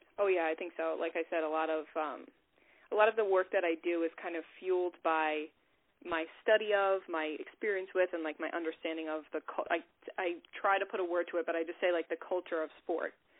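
Talking at a fairly quick pace, a woman uses an ordinary speaking voice with a fairly low pitch and fairly even intonation. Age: 20s. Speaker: mental health counselor. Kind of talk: casual interview.

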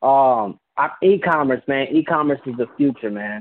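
With a plain, everyday voice, a man speaks at a medium pitch with ordinary pitch variation. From Puerto Rican heritage, US. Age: 20s. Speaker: former rapper turned businessman. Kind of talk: casual interview. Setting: phone call.

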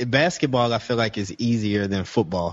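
A man talks in a normal speaking voice at a medium pitch. His intonation stays fairly even. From Chicago. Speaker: podcast host. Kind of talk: casual chat.

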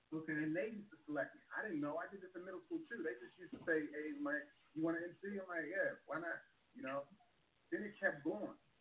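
A man talks at a very fast pace with a slight Baltimore accent and a high pitch. His intonation is lively, and his loudness swings widely. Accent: slight Baltimore twang. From Baltimore, Maryland. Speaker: stand-up comedian. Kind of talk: casual interview chat.

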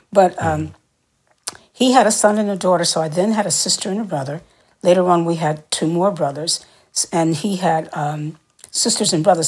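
A woman speaks with an American accent at a fairly low pitch. Her voice is somewhat breathy. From New York City. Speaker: singer and actor. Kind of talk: interview.

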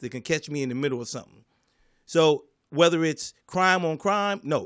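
A man with an American accent and a normal speaking voice talks at a moderate pace and fairly high pitch with ordinary pitch variation, on a very clean recording with a silent background. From US Northeast, Philadelphia. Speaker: comedian. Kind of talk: casual chat.

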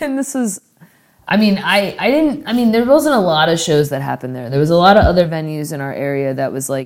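With an American accent, a woman talks very fast in a fairly low voice, her pitch swinging very widely. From Florida, St. Petersburg. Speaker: punk rock musician. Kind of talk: casual chat. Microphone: poor recording quality.

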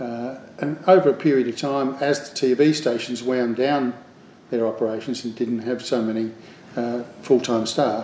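A man at a medium pitch and moderate pace, with an Australian accent, over noticeable background noise. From Australia, Adelaide. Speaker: television producer. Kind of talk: interview.

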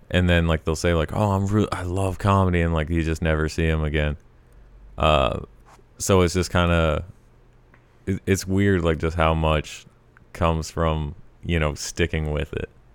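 Speaking in a very deep, low pitch with an American accent, a man delivers his words in a flat monotone at a moderate pace, broken by long, frequent pauses. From Colorado. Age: 20s. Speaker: stand-up comedian. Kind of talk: casual chat.

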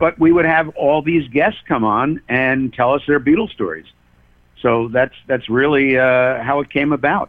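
A man with an American accent speaks at a moderate pace in a fairly high pitch. His is an unremarkable speaking voice with ordinary pitch variation. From Pennsylvania (Allentown). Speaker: rock historian and radio DJ. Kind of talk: interview. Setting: phone call.

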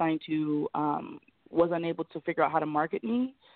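A woman with an American accent and an unremarkable speaking voice, fairly low in pitch, with ordinary pitch variation and a fairly quick pace. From rural Ohio, US Midwest. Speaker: fashion model. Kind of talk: interview.

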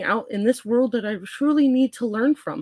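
A woman's plain, everyday voice, fairly high in pitch, at a moderate pace in a dry, close sound with no echo. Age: 40s. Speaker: registered nurse. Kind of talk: casual chat.

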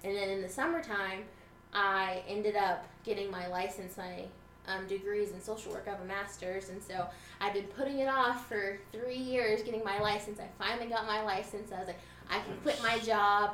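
The speaker has an American accent and fairly even intonation. Noticeable background noise and audible room echo are present. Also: woman, medium pitch for a woman, moderate pace. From Texas, Lubbock. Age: 20s. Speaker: social worker. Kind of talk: casual chat. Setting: basement recording with group.

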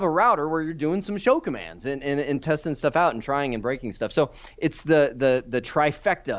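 Against a quiet background, a man uses a normal speaking voice with a fairly high pitch and lively intonation. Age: 40s. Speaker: IT certification trainer. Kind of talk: casual chat.

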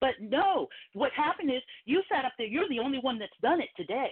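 A woman with an American accent talks at a moderate pace. Her high voice makes very wide pitch swings. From Philadelphia. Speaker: caller. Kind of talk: call-in talk radio discussion.

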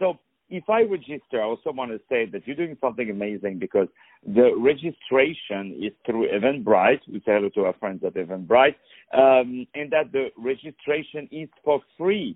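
A man with a non-native accent and a medium-pitched voice talks at a moderate pace in an animated tone. His pitch swings very widely and his loudness rises and falls sharply. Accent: foreign-accented English.

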